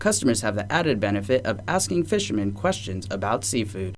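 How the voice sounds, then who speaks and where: A man's somewhat breathy voice, fairly low in pitch, at a fairly quick pace with ordinary pitch variation. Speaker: news anchor and TV reporter. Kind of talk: TV news anchoring and field reporting.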